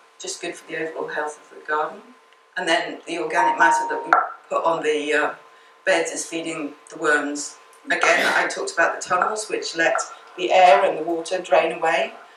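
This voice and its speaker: Noticeable background noise and audible room echo fill the recording. A woman speaks with big swings in loudness. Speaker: gardener giving a talk. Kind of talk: illustrated talk to a local group. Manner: fast; projecting loudly to the room.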